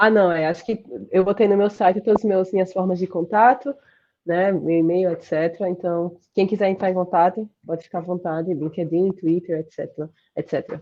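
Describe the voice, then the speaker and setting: A woman with a Sergipe accent speaks with fairly even intonation. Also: medium pitch for a woman. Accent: Sergipe Brazilian. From Brazil, Sergipe. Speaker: computer science professor. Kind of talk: interview. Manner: fast.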